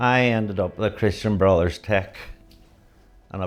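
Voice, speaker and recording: A man speaks in a Northern Irish accent. His pace is moderate and his intonation fairly even. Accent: Derry Northern Irish. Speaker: LGBT activist interviewee. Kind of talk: documentary interview.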